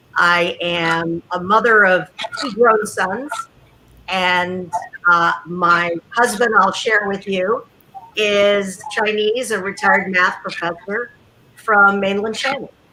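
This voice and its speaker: Against noticeable background noise, a woman of medium pitch speaks at a very slow pace with fairly even intonation. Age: 60s. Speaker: retired TV journalist. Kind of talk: panel discussion.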